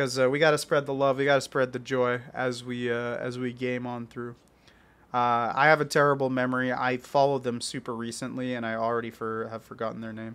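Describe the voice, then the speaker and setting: A man speaks at a fairly quick pace with monotone, flat intonation. The background is quiet. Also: medium pitch for a man. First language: French or multilingual (English not first). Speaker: gaming YouTuber. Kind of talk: casual gameplay commentary. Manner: halting, many fillers.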